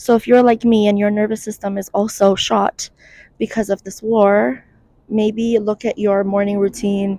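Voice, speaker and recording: A woman with a dark, mellow tone and fairly even intonation is heard in a dry, close recording with no echo. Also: medium pitch for a woman, moderate pace. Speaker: mental health content creator. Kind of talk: casual vlog monologue. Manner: conversational, informal.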